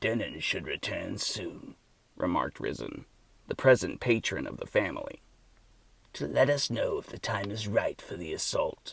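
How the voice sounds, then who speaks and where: A man's put-on character voice at a moderate pace, with big swings in loudness. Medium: read story. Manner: timid, deferential.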